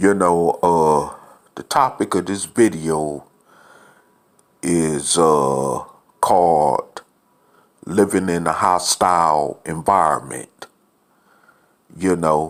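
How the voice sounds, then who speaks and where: With a very deep, low pitch and ordinary pitch variation, a man speaks at a very slow pace, leaving long, frequent pauses. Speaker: video blogger. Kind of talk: casual monologue. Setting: apartment. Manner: soft-spoken; halting with fillers.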